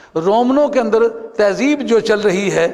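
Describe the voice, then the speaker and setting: This is a man's voice. His pitch is high. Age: 70s. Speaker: Sufi scholar. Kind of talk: religious lecture.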